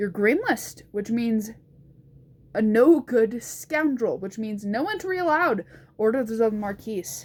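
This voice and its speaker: A woman's gravelly, rumbling put-on character voice at a fairly high pitch, fairly slow pace and lively intonation. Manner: gruff, dismissive.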